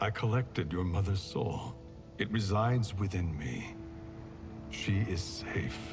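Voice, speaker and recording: Over clear background noise, a man uses a put-on character voice with a fairly low pitch and a calm tone. He speaks at a fairly slow pace with long, frequent pauses. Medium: video game. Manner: calm, steady.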